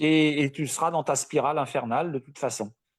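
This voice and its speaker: A man speaks in a very clean recording with a silent background, the sound dry and close with no echo. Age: 60s. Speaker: coaching client, retiree. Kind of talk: live interview.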